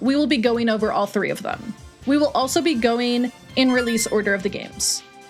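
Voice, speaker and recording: With music in the background, a high-pitched woman talks at a fairly quick pace with lively intonation. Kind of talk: lore explainer narration. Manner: fast in places.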